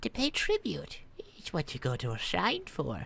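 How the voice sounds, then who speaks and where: Someone speaks in a put-on character voice at a moderate pace. Background noise is clearly audible. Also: woman. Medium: actual play. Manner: kindly, hesitant.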